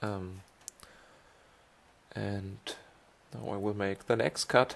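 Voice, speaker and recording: In a German accent, a man talks very slowly at a fairly low pitch with ordinary pitch variation. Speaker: esports cycling racer and commentator. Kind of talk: race highlights commentary. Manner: halting.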